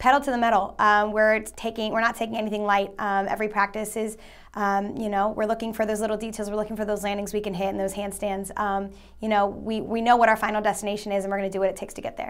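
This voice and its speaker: A woman speaks at a very fast pace. Her intonation is monotone and flat over a quiet background. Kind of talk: interview answer. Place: studio. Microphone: lapel.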